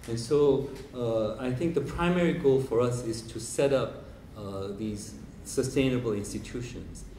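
With a Korean accent, a man speaks very slowly with ordinary pitch variation, amid audible room echo and light background noise. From South Korea. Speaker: professor and biennale director; professor. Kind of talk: lecture. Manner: hesitant with many fillers. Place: hall. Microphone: handheld.

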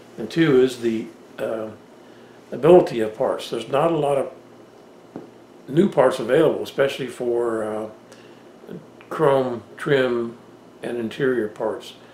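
With audible room echo and light background noise, a man speaks at a fairly slow pace, leaving long, frequent pauses, with ordinary pitch variation. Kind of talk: casual vlog chat. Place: office.

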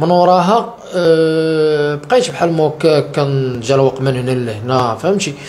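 A man talks at a very slow pace with lively intonation. He hardly pauses at all. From Morocco. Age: 30s. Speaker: interviewee. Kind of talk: testimony. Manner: halting. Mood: sad, earnest. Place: home room. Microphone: handheld.

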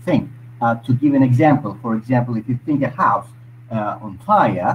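Over light background noise, a somewhat breathy man talks at a moderate pace with ordinary pitch variation. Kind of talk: discussion contribution. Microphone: video call.

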